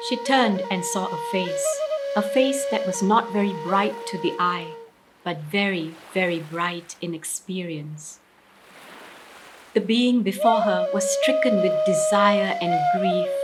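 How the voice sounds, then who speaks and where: At a fairly slow pace, a woman speaks at a medium pitch over noticeable background noise. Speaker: storyteller. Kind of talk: storytelling performance of a short story.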